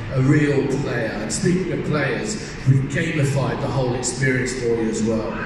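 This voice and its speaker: Over noticeable background noise and strong room echo, a man speaks at a moderate pace with ordinary pitch variation. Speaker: panelist. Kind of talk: panel presentation. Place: hall.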